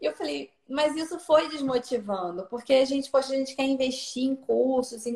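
A woman talks at a moderate speed, her high voice swinging very widely in pitch. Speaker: nutritionist. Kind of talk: casual chat.

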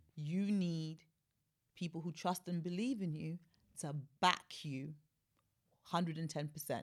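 Speaking very slowly with long, frequent pauses, a woman keeps a fairly low pitch and fairly even intonation. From Sierra Leone. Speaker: aesthetic skin health specialist and author. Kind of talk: interview conversation.

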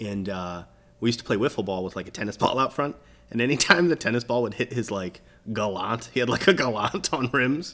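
A man with an American accent speaks at a fairly quick pace and medium pitch with lively intonation, in a plain, everyday voice. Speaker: podcast co-host. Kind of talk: casual chat.

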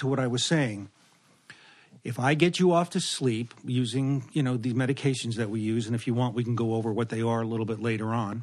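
A man with an ordinary speaking voice, medium in pitch, with ordinary pitch variation and a fairly quick pace. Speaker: anesthesiologist. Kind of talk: casual chat. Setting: at home.

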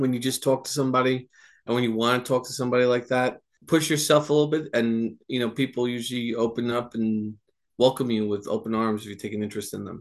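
Very fast speech comes from a man with an American accent, the background quiet. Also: medium pitch for a man, fairly even intonation. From New Jersey. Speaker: nonprofit board member. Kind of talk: interview.

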